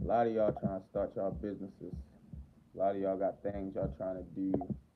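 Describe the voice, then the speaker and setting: A man's very deep, low voice with a Baltimore accent, fairly quick, with ordinary pitch variation. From Baltimore, Maryland, US. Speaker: livestreamer. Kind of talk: casual livestream chat.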